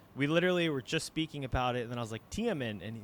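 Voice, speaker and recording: Through noticeable background noise, a man with a fairly high pitch speaks at a very fast pace in very wide pitch swings. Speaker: podcast host. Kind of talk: interview.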